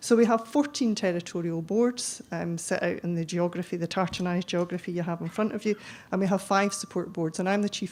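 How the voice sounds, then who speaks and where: Speaking at a fairly quick pace, a woman with a fairly low pitch talks in a Scottish accent. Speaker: chief pharmacist, conference speaker. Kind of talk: conference presentation. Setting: conference hall with audience. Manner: fast; hesitant, many ums.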